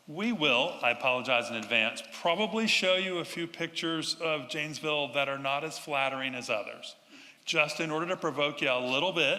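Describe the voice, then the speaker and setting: This man's pitch sits fairly high, and he speaks with an American accent. Background noise is noticeable. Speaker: urban designer. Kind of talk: public talk to audience.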